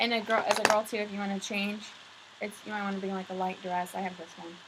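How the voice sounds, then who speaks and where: A woman talks at a very fast pace and medium pitch, with monotone, flat intonation and big swings in loudness. Noticeable background noise is present. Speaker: video host. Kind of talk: casual chat.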